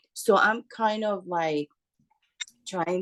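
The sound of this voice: A woman talks at a fairly slow pace. Her intonation stays fairly even.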